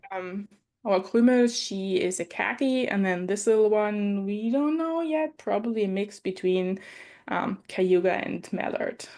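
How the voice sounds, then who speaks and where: A woman speaks at a fairly slow pace in a German accent, her pitch medium and her tone dark and mellow. Her intonation is lively over a quiet background. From Germany. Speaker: professor and duck keeper, podcast co-host. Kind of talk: casual conversation.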